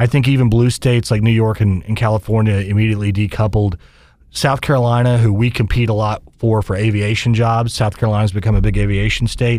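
At a very fast pace, a man speaks with an American accent, fairly low pitch, and monotone, flat intonation. His loudness stays very even, and the recording is very clean with a silent background. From Kansas (Wichita). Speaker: business association head. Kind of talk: interview.

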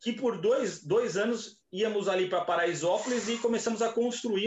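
A man speaks at a moderate pace. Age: 30s. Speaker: events company entrepreneur. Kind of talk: casual chat.

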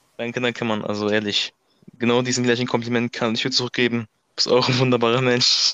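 A man talks at a very fast pace with medium pitch. His intonation is monotone and flat. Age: young. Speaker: amateur football player. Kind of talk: casual chat. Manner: polite.

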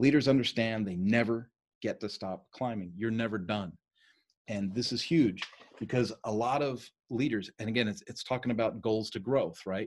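This man has an ordinary speaking voice at a medium pitch, with ordinary pitch variation. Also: moderate pace. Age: 50s. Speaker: leadership coach. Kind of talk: lecture. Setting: video call.

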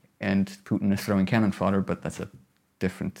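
On a very clean recording with a silent background, a man speaks with a Georgian accent. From Georgia (Tbilisi and Batumi). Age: 20s. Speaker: video editor and filmmaker. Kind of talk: interview.

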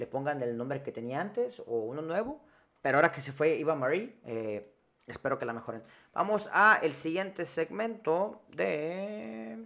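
A man's fairly high voice with a Mexican accent, very wide pitch swings and a moderate pace. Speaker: wrestling podcast host. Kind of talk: casual chat.

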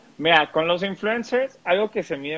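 A man with a Mexican accent talks at a fairly slow pace, his intonation lively. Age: 20s. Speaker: digital marketing agency owner. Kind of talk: interview.

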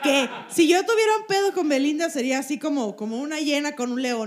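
Over noticeable background noise, a woman talks at a very fast pace with hardly any pauses and very wide pitch swings. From Sonora, Mexico. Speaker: comedian, podcast co-host. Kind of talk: live comedy podcast chat. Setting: live show with audience.

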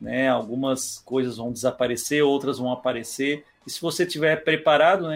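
A man with a normal speaking voice talks at a moderate pace, his intonation fairly even. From Criciúma, Santa Catarina, Brazil. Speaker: entrepreneur and digital marketing expert. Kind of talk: podcast interview.

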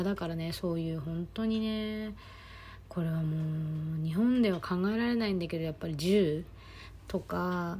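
A somewhat breathy woman's voice, fairly low in pitch, with ordinary pitch variation and a moderate pace. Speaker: podcast host and life coach. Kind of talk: casual monologue. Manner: animated.

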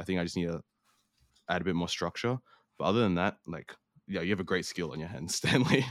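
A man's very deep, low voice at a very fast pace, broken by long, frequent pauses, with a dry, close sound, no echo, and a very clean, silent background. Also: ordinary pitch variation. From New Zealand and Australia. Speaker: podcaster. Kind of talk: casual chat. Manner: hesitant, many fillers.

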